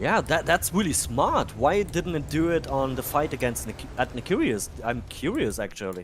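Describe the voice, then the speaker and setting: A man with a German accent, very wide pitch swings and hardly any pauses. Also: fairly high pitch for a man, moderate pace. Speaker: game streamer. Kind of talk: casual chat; live commentary. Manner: animated.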